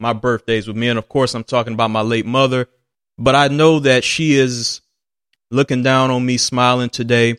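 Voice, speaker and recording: This man's voice sits at medium pitch. The recording is very clean and dry, close with no echo, over a silent background. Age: 20s. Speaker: solo sports podcast host. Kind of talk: solo sports commentary monologue.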